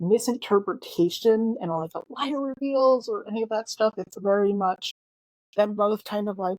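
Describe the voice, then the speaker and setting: A woman speaks at a moderate pace with ordinary pitch variation. The sound is dry and close, with no echo. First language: not English. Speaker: book reviewer. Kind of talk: casual monologue review. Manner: halting, self-correcting.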